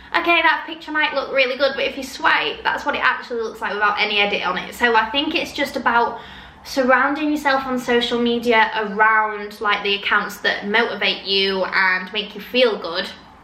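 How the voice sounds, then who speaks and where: A woman with a high voice speaks at a moderate pace. There is noticeable background noise and audible room echo. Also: ordinary pitch variation, hardly any pauses. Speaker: influencer and confidence coach. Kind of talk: casual advice vlog.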